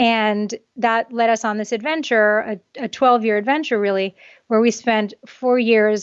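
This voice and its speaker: At a moderate pace, a woman with a fairly high pitch speaks with fairly even intonation. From US East Coast, New York City and Connecticut. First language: Japanese. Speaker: author. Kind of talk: interview.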